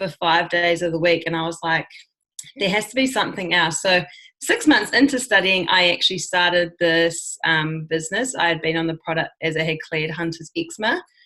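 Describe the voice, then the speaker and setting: A bright, sharp tone carries speech delivered at a moderate pace. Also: woman, fairly low pitch for a woman, ordinary pitch variation. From New Zealand. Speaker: network marketer. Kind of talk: casual talk.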